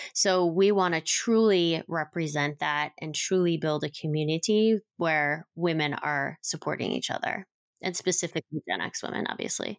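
With an American accent, a woman in an ordinary speaking voice talks at a fairly low pitch and moderate pace with ordinary pitch variation, the sound dry and close with no echo on a very clean recording with a silent background. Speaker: business co-founder. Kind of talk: casual chat.

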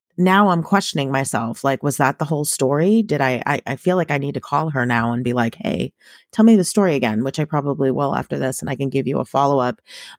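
A woman with an American accent speaks very fast, with hardly any pauses, a very deep, low pitch and lively intonation. The recording is very clean with a silent background, its sound dry and close with no echo. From Massachusetts, Boston suburbs. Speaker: podcast co-host. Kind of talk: casual chat.

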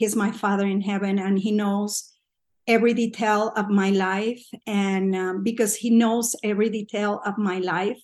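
A woman's flat, monotone delivery at a fairly slow pace over a quiet background. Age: 50s. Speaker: podcast guest, pilgrim. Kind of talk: personal testimony. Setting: remote call recording.

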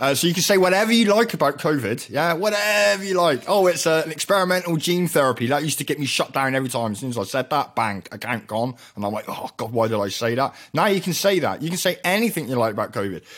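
A man with an English accent talks very fast, his pitch swinging very widely. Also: hardly any pauses. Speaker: radio host and chemist. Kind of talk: casual chat.

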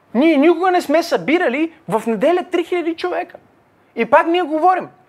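A man speaks with a non-native accent. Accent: foreign-sounding accent with a hiss. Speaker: pastor. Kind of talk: Q&A teaching with Bible exposition. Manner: halting, many fillers.

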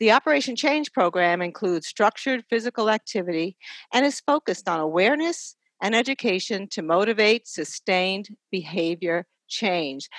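A woman speaks against a quiet background. Her pitch swings very widely. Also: medium pitch for a woman, moderate pace, dry, close sound with no echo. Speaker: podcast host and nurse. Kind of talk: interview for a health podcast.

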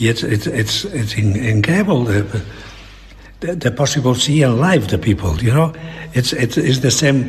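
Over noticeable background noise, a man at medium pitch speaks at a moderate pace with lively intonation and very even loudness. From Catalonia, Spain. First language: Catalan or Spanish. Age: old. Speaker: fine artist and illustrator. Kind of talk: interview. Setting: artist's studio. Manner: halting.

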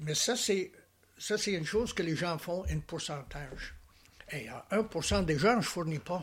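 A man speaks in a high pitch at a very slow pace. His speech has long, frequent pauses. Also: ordinary pitch variation. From Alberta, western Canada. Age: 80s+. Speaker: painter. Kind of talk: interview. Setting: artist's studio.

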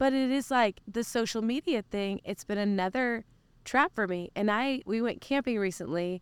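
A woman with an American accent uses a plain, everyday voice, fairly high in pitch with ordinary variation, at a moderate pace on a very clean, dry, close recording with no echo and a silent background. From Oklahoma. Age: 30s. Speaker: worship leader. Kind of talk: interview. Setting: mobile podcast recording.

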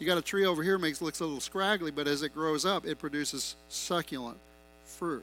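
Over music in the background, a man speaks at a fairly quick pace with a fairly high pitch and ordinary pitch variation. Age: 50s. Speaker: pastor. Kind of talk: sermon.

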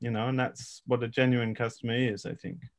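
Fairly quick speech from a man in an English accent. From England. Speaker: regenerative farmer and educator. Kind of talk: expert interview.

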